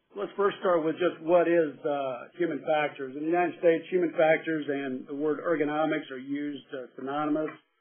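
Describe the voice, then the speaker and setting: A plain, everyday voice from a man at fairly high pitch, with fairly even intonation and a fairly quick pace. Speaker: human factors expert witness. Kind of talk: webinar lecture. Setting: webinar audio broadcast.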